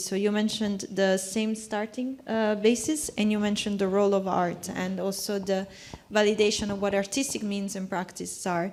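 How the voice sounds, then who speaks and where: The speaker talks with hardly any pauses and fairly even intonation. Noticeable background noise runs underneath. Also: woman. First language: not English. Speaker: panel contributor. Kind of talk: panel discussion. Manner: halting, with false starts.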